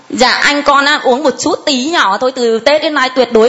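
Noticeable background noise sits under a woman's high-pitched voice as she talks at a moderate pace with ordinary pitch variation. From Thai Binh, northern Vietnam. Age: 40s. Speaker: parishioner giving testimony. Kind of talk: testimony.

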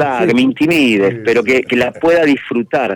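At a fairly quick pace, a man with an unremarkable speaking voice talks with ordinary pitch variation, the sound dry and close with no echo. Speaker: musician and event organizer. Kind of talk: interview.

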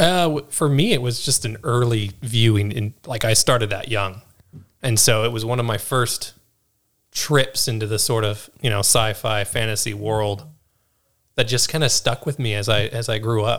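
A man with a plain, everyday voice, medium-pitched, at a moderate pace. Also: ordinary pitch variation. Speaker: new podcast co-host. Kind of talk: casual conversational podcast chat. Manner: relaxed, casual.

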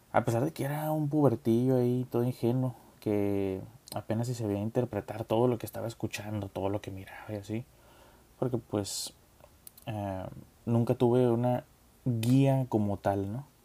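With a Mexican accent and a dark, mellow tone, the speaker keeps a moderate pace broken by long, frequent pauses. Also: man, medium pitch for a man. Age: 20s. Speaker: podcast host, nurse. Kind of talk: casual monologue.

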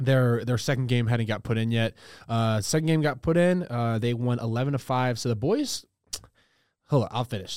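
This is a man with an ordinary speaking voice at a medium pitch. He talks at a moderate pace with ordinary pitch variation. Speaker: college student podcast co-host. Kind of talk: casual chat. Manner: jokey, interrupts often.

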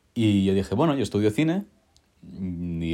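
A man speaks with a dark, mellow tone. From Catalonia, Spain (town near Barcelona). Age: 20s. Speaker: film student and Bible audiobook narrator. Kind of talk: casual interview.

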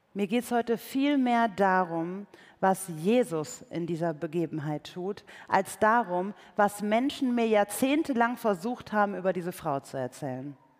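On a very clean recording with a silent background, a plain, everyday voice speaks with lively intonation. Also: woman, medium pitch for a woman. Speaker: preacher and author. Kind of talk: sermon in church. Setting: church with live audience. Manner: conversational, warm, earnest; light humor, engaging.

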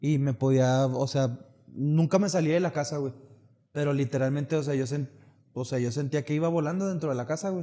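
Fairly quick speech from a man with a dark, mellow tone, fairly high pitch and fairly even intonation. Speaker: podcast co-host. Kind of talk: casual chat.

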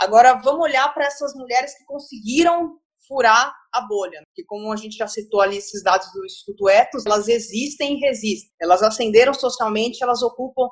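With a high pitch, a woman talks at a fairly quick pace. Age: 30s. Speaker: journalist. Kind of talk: podcast interview.

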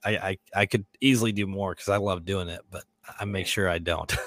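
With a normal speaking voice, a man talks at a moderate pace and fairly low pitch, the sound dry and close with no echo. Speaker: podcast host. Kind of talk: casual interview chat. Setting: live stream.

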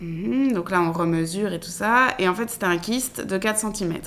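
Her medium-pitched voice moves at a moderate pace with ordinary pitch variation, a woman speaking. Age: 20s. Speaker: woman going through IVF. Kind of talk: personal testimony. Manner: hesitant, many fillers.

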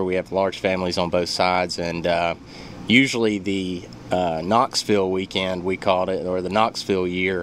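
A man with a very deep, low pitch speaks at a moderate pace amid noticeable background noise. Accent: Alabama. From Athens, Alabama. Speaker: home loan officer. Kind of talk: radio interview. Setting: radio studio.

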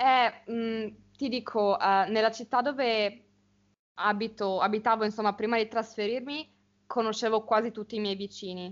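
A woman with a normal speaking voice, fairly high in pitch, talks at a moderate pace with fairly even intonation. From Italy, small village. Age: young. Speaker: university student. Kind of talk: casual conversation for Italian learners.

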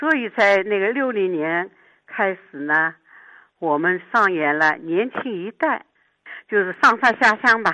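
Speaking at a very slow pace, a woman has a medium pitch and a bright, sharp tone. Her intonation is lively and the background is quiet. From Shanghai. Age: 80s+. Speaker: retired Yue opera actress. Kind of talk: interview reminiscence. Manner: soft, gentle.

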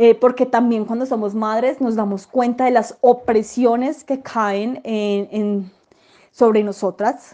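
A woman speaks at a very slow pace, her fairly high pitch moving with ordinary variation. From Colombia, Manizales. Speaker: sociologist and journalist. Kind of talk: interview. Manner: halting, many fillers.

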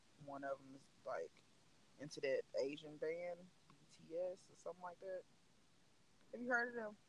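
A man speaks with a Southern US accent. The sound is dry and close, with no echo. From US South. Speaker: podcast host. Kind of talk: casual chat.

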